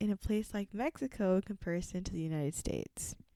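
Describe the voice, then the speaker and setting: In a very clean, dry, close recording with no echo and a silent background, a woman with a dark, mellow tone talks at a fairly quick pace with lively intonation. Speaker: podcast co-host. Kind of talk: casual chat.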